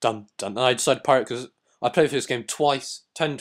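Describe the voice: Plain reading aloud, little sound behind it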